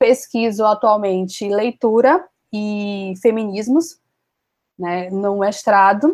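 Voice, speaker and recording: A woman speaks at a very slow pace, her pitch fairly high. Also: ordinary pitch variation. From Brazil, interior of Bahia. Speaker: content creator and master's student. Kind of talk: interview.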